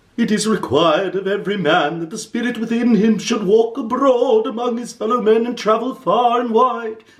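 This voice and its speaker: Putting on a character voice, a man speaks high in pitch at a moderate pace with hardly any pauses. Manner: mournful.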